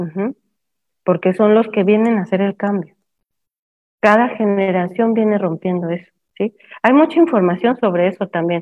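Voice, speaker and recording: At a moderate pace and medium pitch, a woman speaks with long, frequent pauses. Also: ordinary pitch variation. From Mexico. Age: 50s. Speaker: permaculture educator and discussion host. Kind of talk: live online talk. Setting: live stream with Zoom participants.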